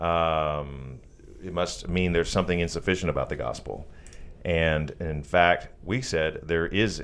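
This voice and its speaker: With vocal fry, a man speaks at a moderate pace. His pitch is very deep and low. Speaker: podcast co-host, former pastor.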